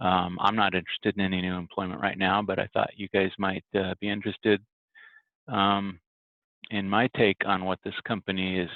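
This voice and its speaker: A quiet man's voice, fairly low in pitch, at a moderate pace with monotone, flat intonation. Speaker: network administrator vlogger. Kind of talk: casual vlog. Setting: office.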